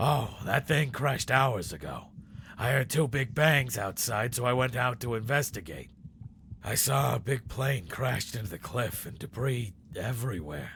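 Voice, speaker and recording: Putting on a raspy character voice at a medium pitch, a man speaks at a moderate pace over clear background noise. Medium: video game. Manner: calm, kindly.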